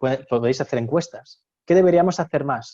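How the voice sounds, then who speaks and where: This man has a dark, mellow tone, ordinary pitch variation and a Castilian accent. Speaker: university lecturer. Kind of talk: webinar presentation. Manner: fast; animated.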